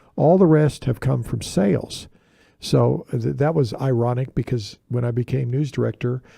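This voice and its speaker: In an American accent, a man speaks with a dark, mellow, somewhat breathy tone and ordinary pitch variation. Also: medium pitch for a man, moderate pace. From Texas Panhandle. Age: 60s. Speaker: TV station general manager. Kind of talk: interview. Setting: studio. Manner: halting.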